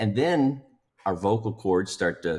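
A man at a fairly slow pace with ordinary pitch variation, against a quiet background. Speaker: podcast guest. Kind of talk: podcast discussion. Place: home room. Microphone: video call.

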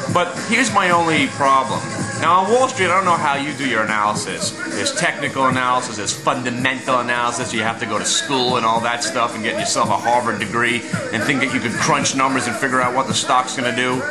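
Clear music plays in the background as a man talks at a very fast pace. His pitch variation is ordinary. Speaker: amateur stock commentator. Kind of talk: casual vlog commentary. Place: home room. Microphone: webcam.

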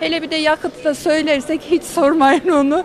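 A woman is heard over light background noise. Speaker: street interviewee. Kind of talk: street interview. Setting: outdoors. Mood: chatty, complaining about bills. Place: street. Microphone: handheld.

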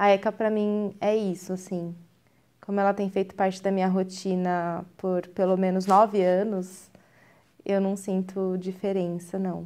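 A woman speaks at a fairly slow pace with a dark, mellow tone. Her intonation stays monotone and flat. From Brazil, São Paulo. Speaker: communication professional and former student; interviewee. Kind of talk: interview testimony. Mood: warm, reminiscing. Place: studio.

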